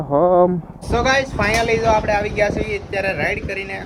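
There is noticeable background noise behind this man, whose pitch varies in an ordinary way. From Gujarat, Bhavnagar district (Saurashtra). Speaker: motovlogger. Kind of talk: vlog narration. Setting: outdoors on a motorbike.

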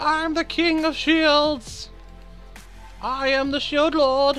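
Putting on a character voice with a pompous tone, a man speaks at a very slow pace while clear music plays in the background. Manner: pompous, booming, silly.

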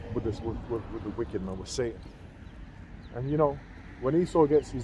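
A man with a London accent talks at a fairly quick pace and medium pitch with ordinary pitch variation. The sound is dry with no echo, under light background noise. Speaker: religious group member reading scripture; religious teacher. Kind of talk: casual bible study discussion. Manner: hesitant, many fillers. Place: open country. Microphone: phone near.

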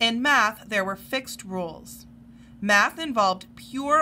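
Someone reads the text aloud in a natural voice.

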